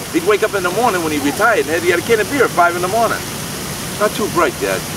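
A man talks very fast in a high pitch with ordinary pitch variation. The sound is dry with no echo, though background noise is noticeable. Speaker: storyteller. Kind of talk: casual storytelling to camera. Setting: outdoors. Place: garden. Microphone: phone near.

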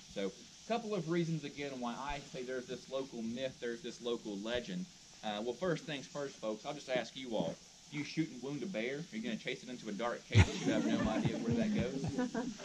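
A man talks at a fairly quick pace with noticeable background noise. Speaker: park ranger tour guide. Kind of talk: guided tour talk. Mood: friendly, lightly humorous. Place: forest. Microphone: camera far.

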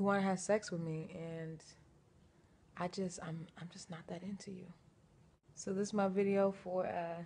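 A woman speaks in a dark, mellow tone that is somewhat breathy. Her intonation is monotone and flat over light background noise. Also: moderate pace. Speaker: vlogger. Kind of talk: casual vlog chat. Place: home room. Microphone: phone near.

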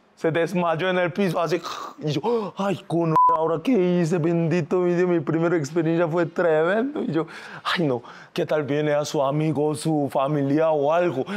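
The delivery is fairly slow and very even in loudness. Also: man. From South Korea. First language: Korean (speaking Spanish). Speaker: singer and influencer; influencer. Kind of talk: casual interview. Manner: animated. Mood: lively storytelling, laughing. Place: studio.

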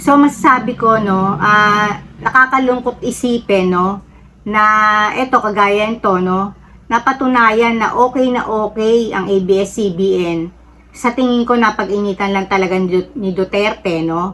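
Using ordinary pitch variation, a woman speaks at a fairly slow pace in a fairly high pitch. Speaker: political commentary vlogger. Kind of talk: casual opinion monologue. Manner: halting with frequent fillers.

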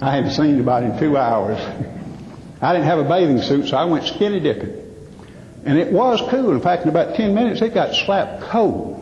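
A man with a Southern US accent speaks in a high voice at a moderate pace, his pitch swinging very widely. His loudness stays very even, with noticeable background noise behind him. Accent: Southern American. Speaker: professional speaker, humorist. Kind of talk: live stage humor / keynote comedy talk.

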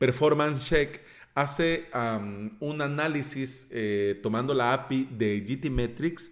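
This man speaks at a very slow pace with medium pitch and ordinary pitch variation. The recording is very clean, with a silent background. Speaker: podcast host. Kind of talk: tutorial. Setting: office near street.

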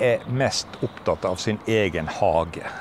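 A man with a fairly low pitch talks at a very slow pace. The sound is dry with no echo, with light background noise. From Western Norway, Arna (Bergen); Western Norway. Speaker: retiring teacher. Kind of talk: casual interview. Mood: relaxed, reminiscing, amused. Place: open country. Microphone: lapel.

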